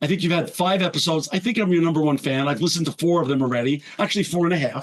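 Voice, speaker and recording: The tone is enthusiastic, with ordinary pitch variation. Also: man. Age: 60s. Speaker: podcast host. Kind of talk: interview conversation. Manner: enthusiastic, effusive.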